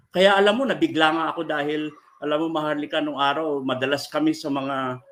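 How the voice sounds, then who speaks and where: Delivered at a moderate pace, this is a plain, everyday voice with fairly even intonation. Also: man. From Philippines, Ilocano (Abra). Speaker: human rights lawyer. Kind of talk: interview.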